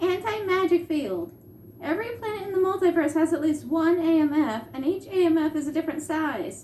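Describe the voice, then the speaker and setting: Squeaky and extremely high, a put-on character voice is projected loudly at a fairly quick pace over clear background noise. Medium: read story. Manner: blunt, impatient.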